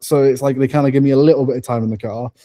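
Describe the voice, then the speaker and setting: A man with a dark, mellow tone talks at a medium pitch, his intonation fairly even. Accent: British. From England. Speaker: racing driver. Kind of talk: interview. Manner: casual, filler-heavy; stutter.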